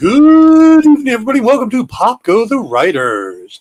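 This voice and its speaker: Using a put-on character voice, a man speaks at an extremely high pitch. His intonation is lively and his pace moderate. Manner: smooth, broadcast-style.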